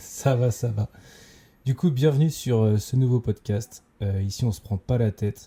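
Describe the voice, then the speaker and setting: The tone is dark and mellow, somewhat breathy, at a fairly slow pace. The sound is dry and close, with no echo. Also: man, medium pitch for a man, ordinary pitch variation. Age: 20s. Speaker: entrepreneur, podcast co-host. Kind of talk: casual chat. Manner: hesitant, many fillers.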